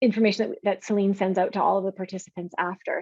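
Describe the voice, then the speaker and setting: Someone with a Canadian accent speaks at a very fast pace, with fairly even intonation. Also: woman. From Saskatchewan, Canada. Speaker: pharmacist. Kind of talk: webinar presentation.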